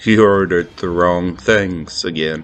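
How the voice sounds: Quietly and at a moderate pace, a man uses a put-on character voice with a very deep, low pitch while music plays in the background.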